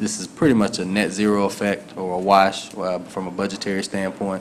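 In a Southern US accent, a man speaks at a moderate pace with a very deep, low pitch and flat, monotone intonation over light background noise. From US South. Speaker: city councilman. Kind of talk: council meeting remarks. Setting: city hall meeting. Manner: halting. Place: hall. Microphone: podium.

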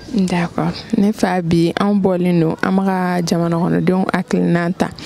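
A woman speaks at a moderate pace with a fairly low pitch and a dark, mellow tone. Vocal fry runs through her voice, and faint background noise sits behind it.

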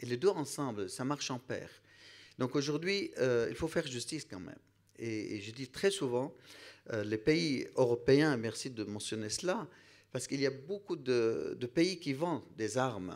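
Lively intonation and big swings in loudness against a quiet background. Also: man, medium pitch for a man, fairly slow pace. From Iraq. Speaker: priest. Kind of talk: panel discussion. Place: hall. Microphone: handheld.

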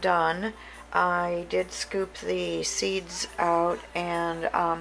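There is light background noise behind a woman's voice. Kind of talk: casual cooking vlog narration. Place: kitchen. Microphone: phone near.

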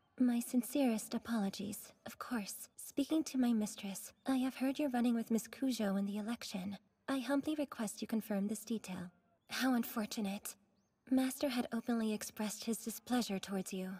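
A put-on, robotic character voice, female-sounding and fairly high-pitched, at a moderate pace. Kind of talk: formal, humble. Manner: robotic, servile.

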